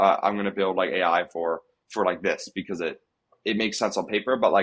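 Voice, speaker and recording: Very fast speech from a man, fairly low in pitch, with ordinary pitch variation. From Nova Scotia, Canada. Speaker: startup founder. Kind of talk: podcast interview. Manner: calm, even-keeled; halting, many fillers and restarts.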